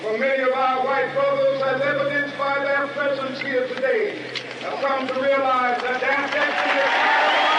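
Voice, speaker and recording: A man's raised, projected voice with an American accent, extremely high-pitched, at a moderate pace, in a passionate, solemn tone with fairly even intonation, over crowd noise in the background. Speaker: civil rights leader giving a public speech. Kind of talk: historic oratory to a large crowd. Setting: outdoor rally, historic audio recording. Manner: passionate, solemn, rhetorical.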